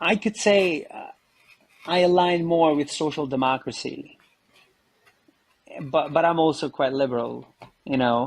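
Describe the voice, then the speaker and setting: With an Albanian accent, a man speaks at a fairly slow pace and a fairly high pitch, using ordinary pitch variation and long, frequent pauses. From Kosovo. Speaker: photojournalist. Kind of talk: interview conversation.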